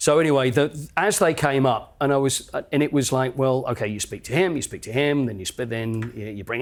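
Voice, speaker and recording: On a very clean recording with a silent background, a man in a normal speaking voice at medium pitch talks at a fairly quick pace with hardly any pauses and ordinary pitch variation. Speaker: stadium announcer. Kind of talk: casual anecdote telling in a podcast interview.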